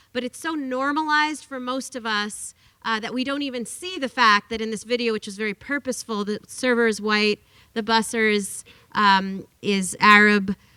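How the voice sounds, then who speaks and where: A loud woman speaks at a fairly high pitch with a bright, sharp tone and ordinary pitch variation. The sound is dry and close, with no echo. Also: moderate pace. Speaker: workers rights advocate and author. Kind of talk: lecture. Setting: classroom talk with audience. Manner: animated.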